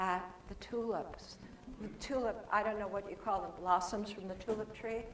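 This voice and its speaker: A woman at a fairly high pitch and moderate pace, with audible room echo and noticeable background noise. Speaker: author and guest speaker. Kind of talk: sermon. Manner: animated.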